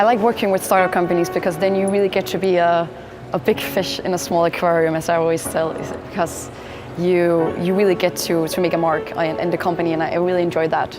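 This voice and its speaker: Noticeable background noise sits behind this woman's fairly low voice. She talks very fast with fairly even intonation. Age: 20s. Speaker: business consultant and university student. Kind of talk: interview monologue. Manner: halting, many fillers.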